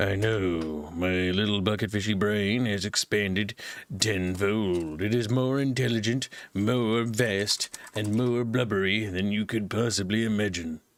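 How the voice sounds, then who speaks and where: A man uses a put-on character voice. It sits at a fairly low pitch and moves at a moderate pace. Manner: pompous boastful.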